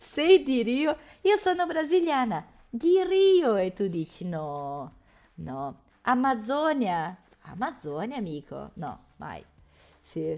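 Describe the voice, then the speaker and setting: Fairly high-pitched woman's voice at a very slow pace, with very wide pitch swings, big swings in loudness and long, frequent pauses. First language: Portuguese (speaking Italian). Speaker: Italian language teacher. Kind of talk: interactive online language lesson.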